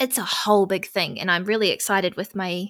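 A woman with a New Zealand accent at a fairly quick pace, on a very clean recording with a silent background. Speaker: podcast host and MS patient. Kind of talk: interview conversation.

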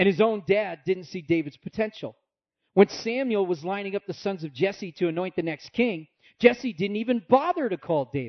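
With an American accent, a man speaks in a high pitch at a moderate pace, his pitch varying in an ordinary way. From Maine (US Northeast). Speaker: pastor. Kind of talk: sermon.

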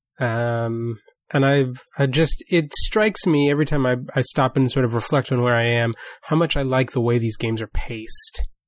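A man speaks at a moderate pace and a medium pitch, with an ordinary speaking voice. Loudness stays very even, pitch variation is ordinary, and the recording is very clean with a silent background. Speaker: podcast host. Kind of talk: casual chat.

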